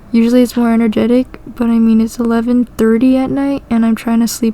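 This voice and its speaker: Over noticeable background noise, a woman speaks in a fairly high pitch with a monotone, flat intonation. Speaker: gaming vlogger. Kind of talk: casual monologue over gameplay. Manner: monotone, low energy.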